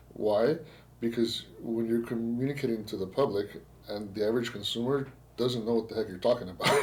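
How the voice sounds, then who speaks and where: A man talks at a fairly quick pace with a Spanish accent. His intonation stays fairly even. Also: medium pitch for a man. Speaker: podcast host, insurance agent. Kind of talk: casual podcast interview. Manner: halting, repetitive phrasing.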